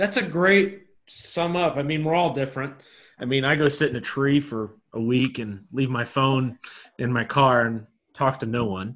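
With ordinary pitch variation and a medium pitch, a man talks in an unremarkable speaking voice. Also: moderate pace. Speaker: podcast host, youth pastor. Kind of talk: casual interview.

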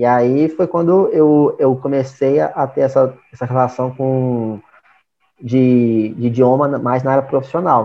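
At a fairly slow pace, a man talks with a medium pitch and ordinary pitch variation. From Brazil, interior of Minas Gerais. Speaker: business partner at language school, entrepreneur. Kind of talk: casual interview. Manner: halting, many fillers.

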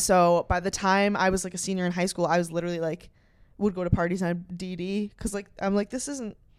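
A woman speaks at a fairly quick pace in a normal speaking voice, her medium pitch carried on fairly even intonation. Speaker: podcast host. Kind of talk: casual chat.

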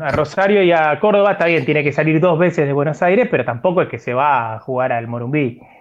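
This man has a plain, everyday voice, pitched fairly high, with lively intonation and a fairly quick pace. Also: hardly any pauses. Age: 40s. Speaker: sports podcast co-host. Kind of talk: casual chat.

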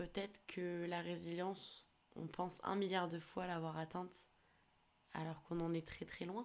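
A woman's fairly low, monotone voice, flat in intonation, at a fairly slow pace with long, frequent pauses. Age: 20s. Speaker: podcast host. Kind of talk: personal testimony monologue. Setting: alone recording at a computer. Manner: hesitant.

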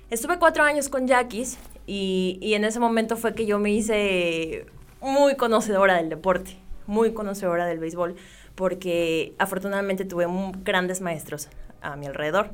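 A woman talks at a moderate pace and a medium pitch, with lively intonation. Music plays in the background. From Mexico, Sonora (Ciudad Obregón). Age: 20s. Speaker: sports journalist and TV presenter. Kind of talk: interview.

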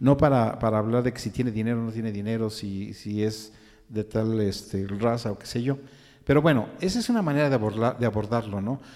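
At a fairly quick pace, a man with medium pitch and fairly even intonation uses an ordinary speaking voice. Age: 60s. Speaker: podcast co-host, psychologist, songwriter. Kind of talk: casual discussion.

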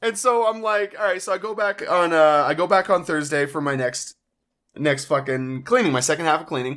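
Here is a man with a normal speaking voice, fairly high in pitch and talking at a fairly quick pace. His intonation is lively, and the recording is very clean with a silent background. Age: 20s. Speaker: podcast co-host. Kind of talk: casual chat.

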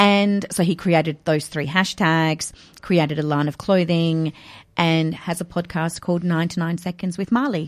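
A woman with an Australian accent speaks at a moderate pace in a fairly low pitch with fairly even intonation. The recording is very clean, with a silent background. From Australia, Adelaide. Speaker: author and educator. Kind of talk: interview.

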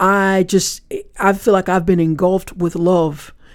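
A woman with an American accent has a dark, mellow tone and a medium pitch. She talks at a moderate pace with fairly even intonation. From US South, Florida Panhandle (Panama City). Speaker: author. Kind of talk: interview. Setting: podcast studio at a live event.

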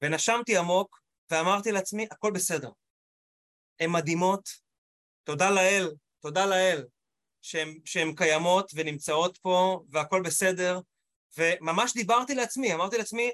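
Recorded dry and close with no echo, a man with a high pitch speaks at a moderate pace with ordinary pitch variation. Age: 40s. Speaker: motivational speaker. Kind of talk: panel discussion. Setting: video call. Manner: animated.

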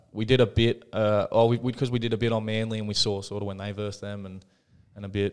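Over a very clean recording with a silent background, a man speaks fairly quickly in an Australian accent, his pitch fairly low and his intonation monotone and flat. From country New South Wales, Australia. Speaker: rugby league player. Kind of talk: casual interview.

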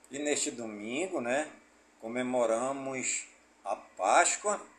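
Very slow, fairly high-pitched speech from a man over noticeable background noise. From Amazonas, Brazil (Careiro da Várzea). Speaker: community radio news presenter. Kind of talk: news reading. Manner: conversational, frequent né tag.

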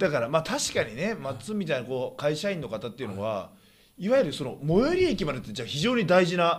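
Vocal fry runs through this man's fairly high voice. He talks at a fairly quick pace with very wide pitch swings. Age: 30s. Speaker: professional wrestler and podcast host. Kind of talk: casual chat.

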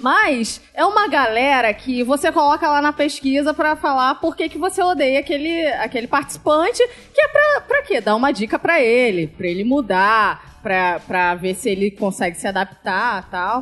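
A woman's high voice swings very widely in pitch as she goes at a moderate speed. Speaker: podcast panelist. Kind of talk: casual chat.

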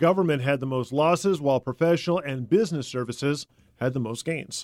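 A man with a fairly high pitch, a plain, everyday voice, a moderate pace and ordinary pitch variation. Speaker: radio news host. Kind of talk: news reading and interview questions.

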